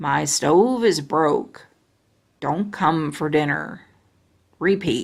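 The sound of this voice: A put-on character voice at a middle pitch moves at a very slow pace with long, frequent pauses. The recording is very clean, with a silent background.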